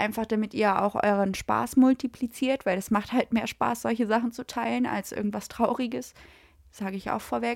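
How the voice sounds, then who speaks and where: In a normal speaking voice, a woman talks at a moderate pace with fairly high pitch and fairly even intonation, the sound dry and close with no echo. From Lower Saxony, Gifhorn near Braunschweig. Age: 20s. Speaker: podcast host. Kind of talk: casual chat.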